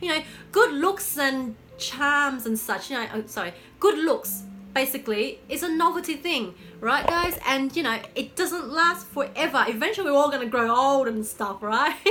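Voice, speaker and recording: Over noticeable background noise, a woman raises and projects her high voice at a moderate pace, her pitch swinging very widely. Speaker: lifestyle coach, vlogger. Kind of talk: casual advice vlog. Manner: animated; halting, repeats words.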